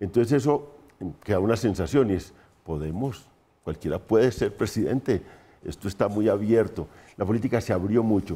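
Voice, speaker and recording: With long, frequent pauses, a man speaks in a dark, mellow tone at a fairly low pitch. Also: ordinary pitch variation, moderate pace. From Colombia. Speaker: political analyst. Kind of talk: panel discussion. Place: studio. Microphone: lapel.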